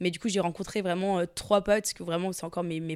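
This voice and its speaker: A woman with a fairly low pitch talks at a very fast pace in a very clean recording with a silent background. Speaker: content creator and podcaster. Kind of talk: casual chat.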